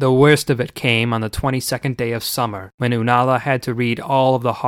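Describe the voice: A plain read-aloud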